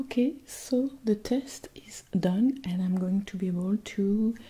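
Soft-spoken and somewhat breathy, a woman talks at a fairly slow pace in a gentle, dark, mellow tone, her loudness swinging widely. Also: ordinary pitch variation. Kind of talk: ASMR roleplay talk to viewer. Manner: soft-spoken, gentle, hushed ASMR voice. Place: home room.

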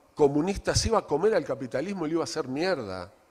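A man's lively intonation with vocal fry, over a quiet background. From Uruguay. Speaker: writer and journalist; journalist. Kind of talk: book presentation talk. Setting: event with live audience. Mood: informal, humorous, irreverent. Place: hall. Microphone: handheld.

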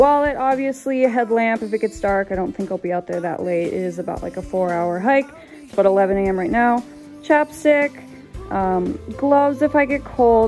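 With faint music in the background, a woman speaks at a moderate pace. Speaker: hiking vlogger. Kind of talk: casual vlog chat. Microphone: phone near.

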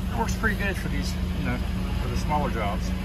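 Loud noise fills the background. The sound is dry, with no echo at all. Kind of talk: casual vlog chat. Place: garden. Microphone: phone near.

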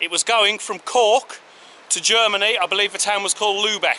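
A man's high-pitched voice at a moderate pace, with light background noise. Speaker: travel vlogger. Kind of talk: casual vlog chat. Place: beach. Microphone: phone near.

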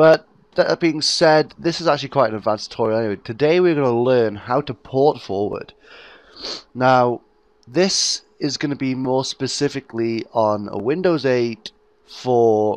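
This man has a British accent and a medium pitch. He speaks at a moderate pace. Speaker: gaming YouTuber. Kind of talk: tutorial. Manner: casual, hesitant with fillers.

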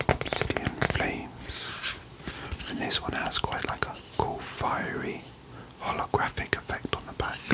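Whispering at a fairly slow pace, a man speaks. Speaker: card collector content creator. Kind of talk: casual vlog chat. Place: home room.

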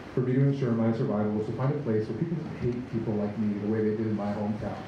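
There's audible room echo and noticeable background noise as a man with an American accent talks at a very fast pace with ordinary pitch variation. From rural Nebraska. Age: 20s. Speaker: high school English teacher. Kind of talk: speech at a vigil. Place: street.

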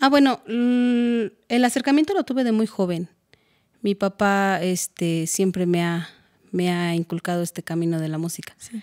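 Speaking at a fairly slow pace, a woman with a medium pitch uses lively intonation against a quiet background. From Mexico, Hidalgo (Tula); Hidalgo, Mexico. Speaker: music composition student; interviewee. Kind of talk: interview. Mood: warm, at times emotional. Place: studio. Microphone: studio mic.

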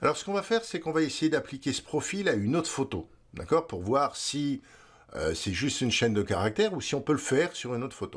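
A man's medium-pitched voice with vocal fry, very wide pitch swings and a fairly quick pace, on a very clean recording with a silent background. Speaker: photography tutorial host. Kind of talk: tutorial. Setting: screen-recorded video tutorial. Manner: halting, many filler words.

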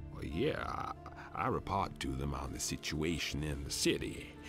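A put-on character voice speaks at a moderate pace. Loud music plays in the background. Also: man. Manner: relaxed, casual.

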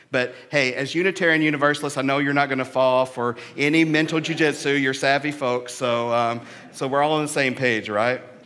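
A man talks at a fairly quick pace with hardly any pauses and fairly even intonation. Light background noise sits behind him. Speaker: minister. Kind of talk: sermon. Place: church. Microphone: headset.

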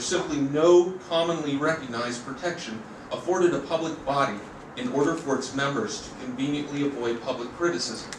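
A man at a fairly quick pace, with ordinary pitch variation, audible room echo, and noticeable background noise. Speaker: member of the public giving comment. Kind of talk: formal public comment read from script. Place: hall. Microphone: podium.

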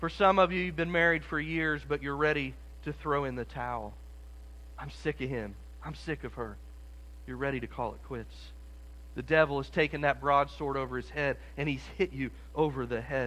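A man talks at a moderate pace. He leaves long, frequent pauses. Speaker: preacher. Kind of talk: sermon. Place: church.

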